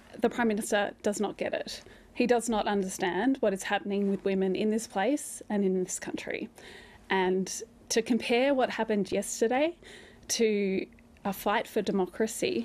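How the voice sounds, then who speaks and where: Moderate pace and ordinary pitch variation from a woman. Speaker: politician guest. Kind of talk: interview answer. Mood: firm, indignant at interruption. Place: studio.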